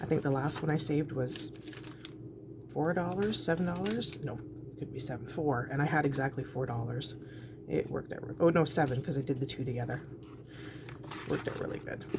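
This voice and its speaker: The speaker moves at a fairly quick pace yet stops for long, frequent pauses. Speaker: budgeting vlogger. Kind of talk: casual talk-through while cash stuffing. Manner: quiet, trying not to make noise.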